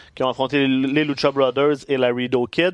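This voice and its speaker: A man talks at medium pitch and a fairly quick pace, his intonation fairly even. The sound is dry and close with no echo, against a quiet background. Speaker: wrestling podcast co-host. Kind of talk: casual chat.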